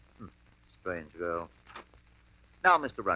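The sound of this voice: A man uses a put-on character voice, low-pitched with a bright, sharp tone. He speaks fairly slowly with big pitch swings.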